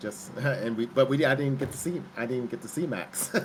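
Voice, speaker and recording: A man's voice with ordinary pitch variation and noticeable background noise. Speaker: streamer's father. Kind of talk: casual chat. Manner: halting.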